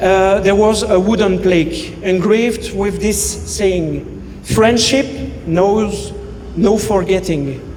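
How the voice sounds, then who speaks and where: A high-pitched man with a French accent at a very slow pace, with audible room echo and noticeable background noise. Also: ordinary pitch variation. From Belgium. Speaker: best man. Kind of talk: wedding speech. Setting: wedding reception. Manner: halting.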